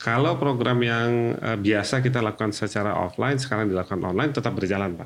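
Ordinary pitch variation marks this man's speech. He goes at a very fast pace. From Jakarta, Indonesia. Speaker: HR manager. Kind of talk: podcast interview.

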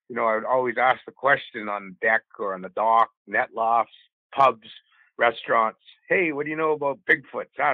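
A man's medium-pitched voice shows ordinary pitch variation. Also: moderate pace. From northeastern Vancouver Island, Canada. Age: 50s. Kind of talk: interview storytelling. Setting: phone call.

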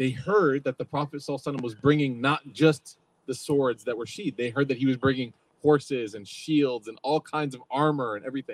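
A man speaks at a medium pitch and moderate pace with fairly even intonation, in a dry, close sound with no echo. He has an ordinary speaking voice. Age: 30s. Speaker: religious teacher. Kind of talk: lecture. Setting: outdoors with live audience. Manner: casual, conversational.

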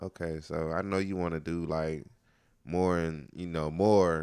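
This man's pitch is very deep and low, with ordinary pitch variation. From North Carolina (High Point). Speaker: podcast host. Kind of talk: casual chat. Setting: home studio. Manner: animated.

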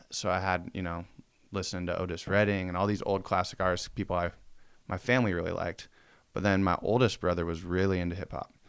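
A man talks very fast in a very deep, low pitch with monotone, flat intonation. The recording is very clean, with a silent background. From Spokane, Washington (US Pacific Northwest). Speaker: apparel brand owner. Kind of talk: casual chat.

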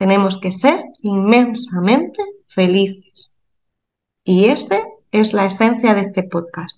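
Speaking at a very slow pace, a woman of medium pitch shows ordinary pitch variation. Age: 30s. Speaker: physiotherapist and spiritual healer. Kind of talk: casual chat.

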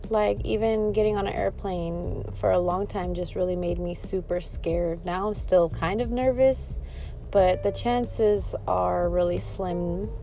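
Fairly slow speech from a woman, with room echo clearly audible. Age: 40s. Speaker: vlogger. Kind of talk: personal monologue.

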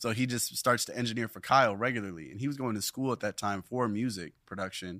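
A man speaks at a very fast pace in a bright, sharp tone with ordinary pitch variation. The recording is very clean, with a silent background. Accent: American. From Southern California (Long Beach/Carson). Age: 20s. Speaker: musician and surfer. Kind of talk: interview. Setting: studio with camera.

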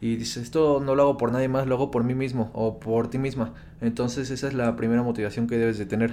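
Noticeable background noise sits behind a man talking at a very fast pace with a medium pitch and fairly even intonation. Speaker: podcast co-host, online entrepreneur. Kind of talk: casual chat.

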